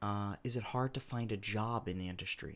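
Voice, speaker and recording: Heard in a very clean recording with a silent background, a plain, everyday voice with an American accent moves at a moderate pace with ordinary pitch variation. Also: man. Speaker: game developer. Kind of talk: casual talk to camera.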